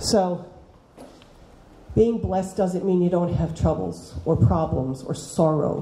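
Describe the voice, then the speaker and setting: Amid audible room echo, a woman with an American accent and a fairly low pitch speaks very slowly, leaving long, frequent pauses. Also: ordinary pitch variation. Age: 60s. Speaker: teacher. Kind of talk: talk to students. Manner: animated.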